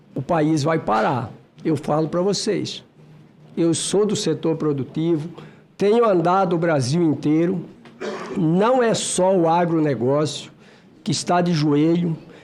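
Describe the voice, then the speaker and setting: Speaking at a fairly slow pace with long, frequent pauses, a man uses a high pitch. His pitch varies in an ordinary way while his loudness stays very even. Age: 60s. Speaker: senator. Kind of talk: committee speech. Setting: senate committee hearing. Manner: emphatic.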